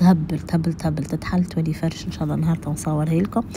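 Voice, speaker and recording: A woman talks over noticeable background noise. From Tunisia. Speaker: vlogger. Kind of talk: casual vlog talk to viewers. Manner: halting, many fillers.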